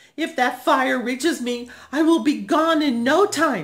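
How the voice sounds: A female-sounding, put-on character voice in a high pitch is raised and projected, delivered at a fairly slow pace.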